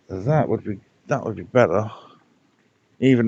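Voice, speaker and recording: This voice is in an English accent. The pitch moves in an ordinary way. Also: man. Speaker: pond keeper vlogger. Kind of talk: casual vlog narration.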